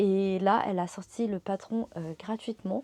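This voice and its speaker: At a fairly slow pace, a woman with a medium pitch and a dark, mellow tone speaks with fairly even intonation. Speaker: crafting vlogger. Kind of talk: casual vlog. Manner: hesitant, many fillers.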